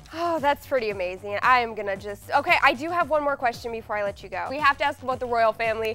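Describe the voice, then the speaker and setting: A woman talks at a very fast pace with hardly any pauses, her high voice lively in intonation. Music can be heard in the background. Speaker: TV interviewer. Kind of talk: TV interview questions.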